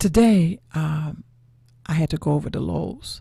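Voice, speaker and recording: A woman's very deep, low voice, dark and mellow in tone, somewhat breathy. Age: 70s. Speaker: online talk show host. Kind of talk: reflective monologue.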